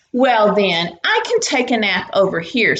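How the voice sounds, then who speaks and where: A woman uses a put-on character voice at a fairly high pitch, speaking at a moderate pace. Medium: read story.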